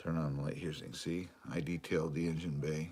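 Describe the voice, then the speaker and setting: With a very deep, low pitch, a man speaks at a moderate pace in a relaxed tone with monotone, flat intonation. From Michigan. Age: 60s. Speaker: RC hobbyist live streamer. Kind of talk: casual live stream chat. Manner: relaxed, filler-heavy.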